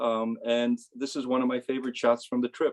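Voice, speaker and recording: Here a man has a normal speaking voice, medium in pitch with ordinary pitch variation. His pace is moderate, and the sound is dry and close with no echo. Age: 60s. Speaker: amateur photographer and physicist. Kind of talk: casual talk about own photo. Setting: video call.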